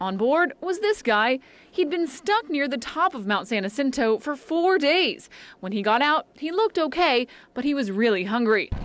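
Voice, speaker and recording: The speaker is a woman with an American accent. Her high pitch moves in very wide pitch swings. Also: moderate pace. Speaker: television news reporter and anchor. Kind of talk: TV news reporter package. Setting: on-location field reporting.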